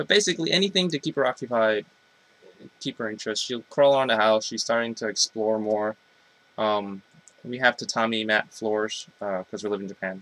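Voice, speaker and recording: An ordinary speaking voice from a man, medium in pitch with ordinary pitch variation, at a fairly quick pace, the sound dry and close with no echo. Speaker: parent vlogger. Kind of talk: casual vlog.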